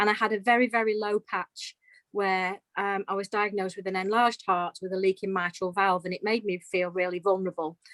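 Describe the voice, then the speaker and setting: In an English Midlands accent, a woman talks fairly quickly at medium pitch with monotone, flat intonation. The sound is dry and close, with no echo. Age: 50s. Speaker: retired nurse, dog owner. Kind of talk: interview testimony.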